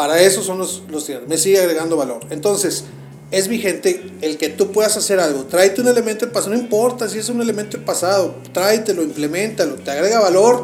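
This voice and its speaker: Over noticeable background noise and audible room echo, the speaker goes at a fairly quick pace with ordinary pitch variation. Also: man, high pitch for a man. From Mexico, Monterrey. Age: 40s. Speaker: bank executive. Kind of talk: interview.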